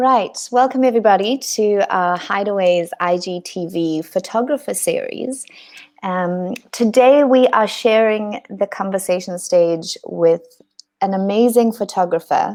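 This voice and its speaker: Using a normal speaking voice, a woman talks at a fairly slow pace with a medium pitch and ordinary pitch variation. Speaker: interviewer, host. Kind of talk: interview host talk.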